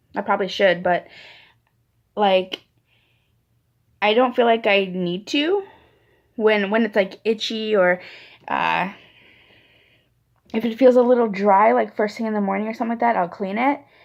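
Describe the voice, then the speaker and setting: A woman with a fairly high pitch talks at a moderate pace, using ordinary pitch variation and long, frequent pauses. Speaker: vlogger. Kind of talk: casual vlog update. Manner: rambling, many fillers.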